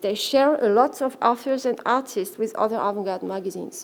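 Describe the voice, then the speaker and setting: A woman with a non-native accent, at a fairly quick pace with lively intonation. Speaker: art historian, keynote speaker. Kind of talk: lecture. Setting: conference stage with audience. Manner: halting, with self-corrections.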